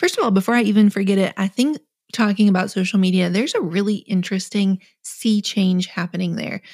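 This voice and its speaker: Dry and close with no echo, a woman's somewhat breathy voice at a medium pitch races along at a very fast pace in an animated tone. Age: 40s. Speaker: author and businesswoman. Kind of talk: casual chat.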